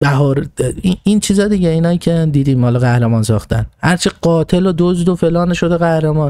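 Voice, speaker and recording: Talking at a fairly quick pace, a man has a dark, mellow tone. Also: fairly high pitch for a man, ordinary pitch variation, quiet background. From Iran. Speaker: political commentator; podcast host. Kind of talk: monologue talking to himself. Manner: halting. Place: home room. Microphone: studio mic.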